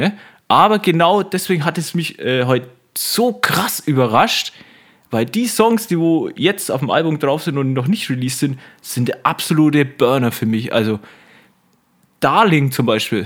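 An animated man's fairly high voice at a moderate pace, full of very wide pitch swings and long, frequent pauses. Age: 20s. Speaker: podcast co-host. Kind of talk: casual chat.

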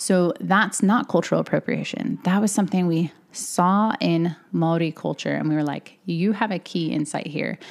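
A woman speaks at a moderate pace with hardly any pauses. Her fairly low voice has vocal fry and ordinary pitch variation. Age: 30s. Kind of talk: solo podcast monologue.

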